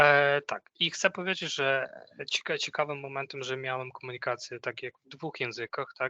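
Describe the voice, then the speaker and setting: Recorded dry and close with no echo, a man with a non-native accent speaks at a moderate pace in a bright, sharp tone, fairly high in pitch with fairly even intonation. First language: not Polish (speaking Polish). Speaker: corporate trainer. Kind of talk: training workshop. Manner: halting.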